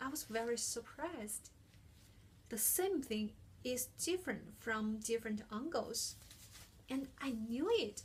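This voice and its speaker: A woman with a non-native accent, a fairly high pitch and lively intonation, at a fairly slow pace with long, frequent pauses. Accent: heavy non-native. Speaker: international student, speaker. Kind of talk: prepared talk.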